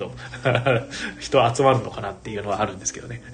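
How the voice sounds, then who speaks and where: A medium-pitched man can be heard through noticeable background noise. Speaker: board game bar owner and radio host. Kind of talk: casual solo livestream talk.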